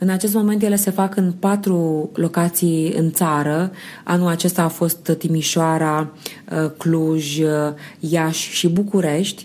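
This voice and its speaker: Very slowly, a woman speaks at a fairly low pitch in a monotone, flat delivery. Her loudness stays very even. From Romania, Slobozia, Ialomița. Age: 30s. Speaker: sociologist and non-verbal communication expert. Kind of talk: interview.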